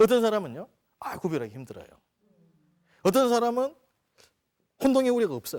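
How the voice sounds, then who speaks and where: Talking at a fairly quick pace, a man uses a high voice with lively intonation. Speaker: lecturer on trademarks. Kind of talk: lecture. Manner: conversational, engaging audience.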